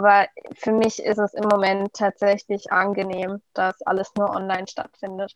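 A woman talks at a medium pitch in a flat, monotone way. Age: 20s. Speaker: first-year university student. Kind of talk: casual interview.

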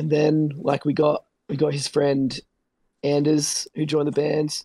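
In an Australian accent, a man speaks at a fairly high pitch with a dark, mellow tone. His pace is fairly slow, and the sound is dry and close with no echo. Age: 30s. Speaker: metal band vocalist. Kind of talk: casual chat.

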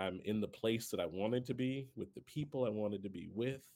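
A man's fairly low, dark and mellow voice, fairly quick in pace, with ordinary pitch variation. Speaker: podcast co-host. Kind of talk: casual chat. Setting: video call.

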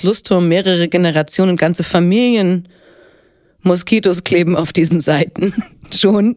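A woman speaks in a normal speaking voice at a fairly low pitch and a fairly slow pace. Her intonation is fairly even and her loudness very even. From Upper Franconia, Bavaria (Helmbrechts near Hof). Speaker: actress and singer. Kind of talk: casual interview. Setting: studio.

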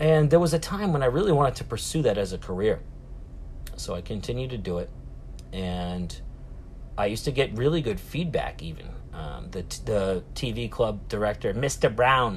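This man speaks in a Boston accent. His pace is moderate. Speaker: podcast host. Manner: loud, animated.

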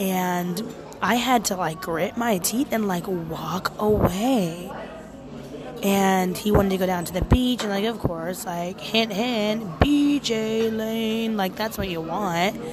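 A woman speaks very slowly with ordinary pitch variation, her voice carrying audible room echo over noticeable background noise. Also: medium pitch for a woman. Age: 30s. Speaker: podcaster, former nanny. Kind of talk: casual monologue. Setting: restaurant, outdoors.

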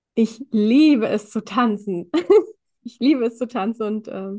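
At a very slow pace, a woman speaks at a fairly high pitch in a somewhat breathy voice. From Germany, Indian family. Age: 20s. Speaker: empowerment coach and social worker. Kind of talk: casual interview chat.

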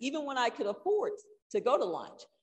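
Her pitch swings very widely up and down as this woman talks at a medium speed. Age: 60s. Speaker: church member teaching on budgeting. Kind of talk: church talk.

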